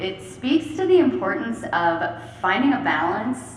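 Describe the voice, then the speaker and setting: A loud woman speaks at a very slow pace with very wide pitch swings, heard with audible room echo and noticeable background noise. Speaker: regional council facilitator. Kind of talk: panel discussion.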